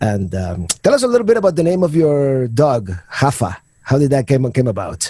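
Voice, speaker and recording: A man's dark, mellow, somewhat breathy voice swings very widely in pitch. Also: fairly high pitch for a man, moderate pace. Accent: Spanish. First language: Spanish. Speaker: podcast host. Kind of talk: podcast interview. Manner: halting, many repetitions.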